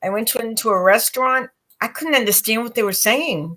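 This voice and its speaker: With an American accent, a woman speaks at a fairly quick pace and a fairly high pitch. Her tone is bright and sharp, with ordinary pitch variation. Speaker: psychic reader and co-host. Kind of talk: casual chat.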